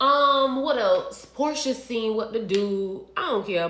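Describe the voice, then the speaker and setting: An animated tone with ordinary pitch variation and audible room echo. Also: woman. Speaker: reality TV recap vlogger. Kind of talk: casual monologue vlog. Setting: home kitchen.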